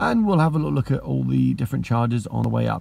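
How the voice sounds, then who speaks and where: The man's voice sounds dry, with no echo. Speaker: electric car vlogger. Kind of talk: casual vlog chat. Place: car. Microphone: phone near.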